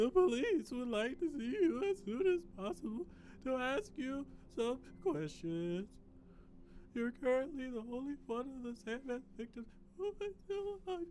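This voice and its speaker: Doing a put-on character voice, a man speaks at an extremely high pitch with very wide pitch swings at a moderate pace, with clear background noise behind him. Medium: game stream. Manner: calm, clinical.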